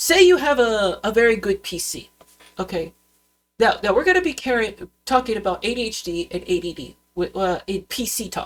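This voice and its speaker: The voice swings widely in pitch and loudness. Its pace is moderate. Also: woman, fairly high pitch for a woman. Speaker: YouTuber. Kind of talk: vlog rant. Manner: halting, many fillers and restarts; unscripted, goes off on tangents.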